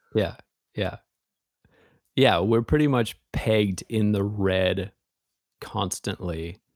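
A very slow man's voice with an American accent, fairly low in pitch with ordinary pitch variation, dry and close with no echo. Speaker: magazine editor and writer. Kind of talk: interview conversation. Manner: slow, deliberate.

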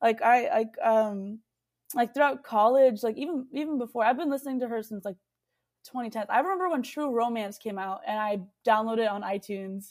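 A woman's fairly high voice in a Texan accent, fairly quick in pace, with lively intonation. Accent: Texan American. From Texas. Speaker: singer-songwriter and producer. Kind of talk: casual interview chat.

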